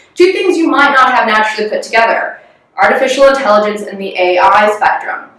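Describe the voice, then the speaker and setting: A woman with an American accent, fairly high pitched and very fast, with lively intonation and audible room echo. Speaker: corporate strategy executive. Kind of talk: corporate presentation.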